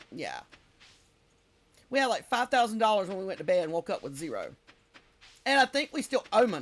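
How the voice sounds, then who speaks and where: Over music in the background, a woman with a Southern US accent and a fairly high pitch talks at a fairly quick pace, leaving long, frequent pauses, with very wide pitch swings and big swings in loudness. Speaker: game streamer. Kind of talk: casual live-stream chat while gaming. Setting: live stream.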